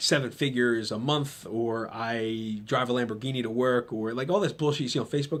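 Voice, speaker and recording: On a very clean recording with a silent background, a man with a New Jersey accent speaks at a fairly quick pace, his medium pitch showing ordinary variation. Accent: New Jersey American. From New Jersey, Trenton. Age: 30s. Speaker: podcast host and gym owner. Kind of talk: motivational monologue. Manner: casual, conversational with fillers.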